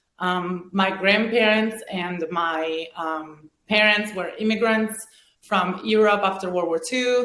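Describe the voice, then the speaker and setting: In a room with audible echo, a woman with a medium-pitched voice and ordinary pitch variation speaks at a fairly slow pace with hardly any pauses. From Venezuela and Italy. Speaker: former pro volleyball player and business owner. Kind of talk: podcast interview. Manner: hesitant, many fillers.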